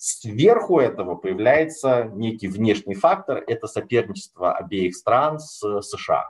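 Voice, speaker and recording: A man's somewhat breathy, medium-pitched voice with very wide pitch swings, very slow yet with hardly any pauses, over a quiet background. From Russia. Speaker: sinologist, foreign policy expert; lecturer, policy analyst. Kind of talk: lecture. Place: home room. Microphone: webcam.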